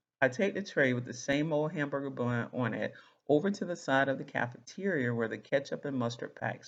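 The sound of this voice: It is read in an unforced reading voice.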